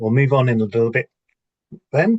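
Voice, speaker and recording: A somewhat breathy male voice in a dry, close sound with no echo. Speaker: business coach and entrepreneur. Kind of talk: lecture.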